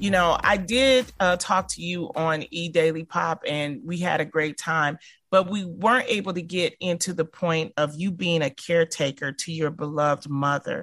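A woman with an American accent, a fairly low pitch, a plain, everyday voice, and a moderate pace. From Detroit, Michigan. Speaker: radio host. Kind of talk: casual chat.

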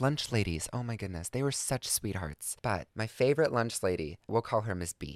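The intonation is lively and the pace fairly quick. The recording is very clean with a silent background, and the sound is dry and close with no echo. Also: man. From US South, Georgia. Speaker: comedic content creator. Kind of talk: casual storytelling monologue. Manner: high energy.

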